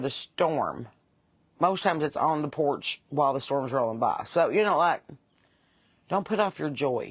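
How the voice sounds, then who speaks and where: A woman with an Appalachian accent talks at a moderate pace in a fairly low voice. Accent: Appalachian Southern. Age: 40s. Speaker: comedy podcast host. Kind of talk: casual comedic podcast talk.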